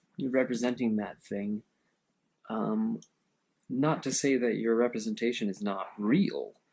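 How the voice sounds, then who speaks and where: With a relaxed tone and long, frequent pauses, a man talks at a fairly slow pace in a medium pitch with ordinary pitch variation. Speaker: artist and video creator. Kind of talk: casual monologue while painting. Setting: home studio, head-mounted camera. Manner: relaxed, musing, with fillers.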